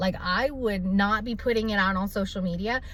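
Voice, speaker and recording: Over noticeable background noise, a woman with a medium-pitched voice talks at a moderate pace in an animated tone with ordinary pitch variation. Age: young. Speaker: vlogger. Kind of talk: casual vlog monologue. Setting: at the doctor's.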